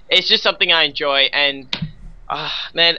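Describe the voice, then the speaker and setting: A man with an Australian accent at a moderate pace. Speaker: esports caster. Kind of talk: live commentary.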